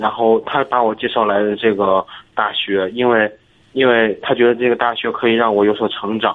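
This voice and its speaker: Flat, monotone intonation from a man at medium pitch, delivered at a moderate tempo. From Hebei, Zhangjiakou. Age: 20s. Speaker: caller, college student. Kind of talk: casual chat. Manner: halting.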